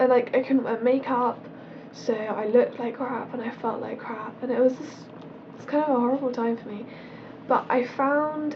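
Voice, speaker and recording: A woman with a British accent talks in a high pitch with fairly even intonation. Noticeable background noise sits behind her. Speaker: beauty vlogger. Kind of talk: casual product review vlog.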